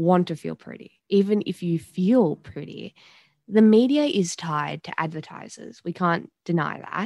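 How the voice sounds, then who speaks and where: A woman with an Australian accent speaks at a fairly slow pace and medium pitch with ordinary pitch variation, recorded with a dry, close sound, no echo and a quiet background. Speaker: podcast co-host. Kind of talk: casual discussion.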